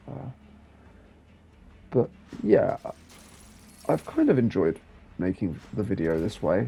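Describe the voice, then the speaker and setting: A man with a relaxed tone speaks at a fairly slow pace, leaving long, frequent pauses. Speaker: gaming youtuber. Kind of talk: game review voiceover. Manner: relaxed, low-energy; hesitant, many fillers.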